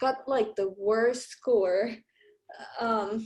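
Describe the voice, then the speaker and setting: Speaking very slowly, a woman uses a fairly high pitch with ordinary pitch variation. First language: non-English. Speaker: nursing student. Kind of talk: tutoring session. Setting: video call.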